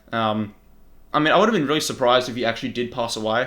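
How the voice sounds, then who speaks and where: A man is speaking. His tone is bright and sharp at medium pitch. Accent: Australian. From Australia. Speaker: YouTuber. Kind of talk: casual commentary.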